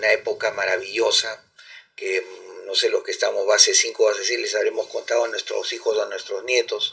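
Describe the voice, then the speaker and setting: In an extremely high pitch, a man speaks in a raised, projected voice with monotone, flat intonation. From Peru, Callao. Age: 60s. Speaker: ufologist. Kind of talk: interview. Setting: live stream.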